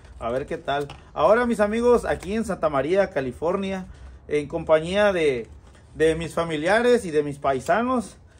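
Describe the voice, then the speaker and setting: The intonation is lively. The pace is moderate. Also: man. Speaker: cooking vlogger. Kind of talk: casual vlog chat. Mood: cheerful, enthusiastic. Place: garden. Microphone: phone near.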